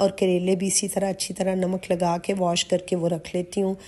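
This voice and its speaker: Against a quiet background, a woman of medium pitch speaks at a fairly slow pace with a dark, mellow tone. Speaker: lifestyle vlogger. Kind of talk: vlog narration.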